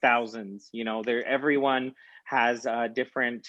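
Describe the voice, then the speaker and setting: With a slight Mexican accent, a man speaks at a moderate pace. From rural Utah, US. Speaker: guest. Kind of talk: interview. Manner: halting.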